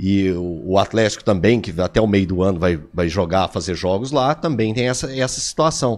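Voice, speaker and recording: Barely pausing, a man talks at a fairly low pitch in an ordinary speaking voice. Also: lively intonation, moderate pace. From Minas Gerais interior, Divinópolis. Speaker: sports commentator. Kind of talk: casual chat.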